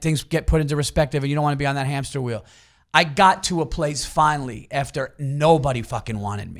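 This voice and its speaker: Very fast speech in an East Coast US accent, on a very clean recording with a silent background. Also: man. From New York area. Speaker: stand-up comedian. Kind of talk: casual chat.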